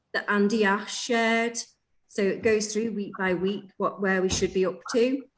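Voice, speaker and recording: At a moderate pace, a woman with a fairly high pitch talks in a plain, everyday voice with fairly even intonation. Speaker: teacher trainer. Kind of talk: online training session.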